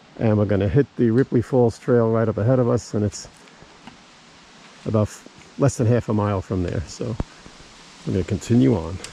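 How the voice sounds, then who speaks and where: A man with a fairly low pitch speaks amid noticeable background noise, taking long, frequent pauses. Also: ordinary pitch variation, fairly quick pace. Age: 60s. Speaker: travel vlogger. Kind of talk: outdoor travel vlog narration. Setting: outdoors on a hiking trail. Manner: casual.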